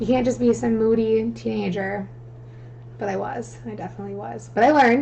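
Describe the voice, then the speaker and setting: A woman speaks at a fairly quick pace. Light background noise is present. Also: big swings in loudness. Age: 20s. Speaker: guest sharing personal story; guest. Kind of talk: casual chat. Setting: live stream. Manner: fast. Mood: candid, personal, light laughter. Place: home room. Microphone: studio mic.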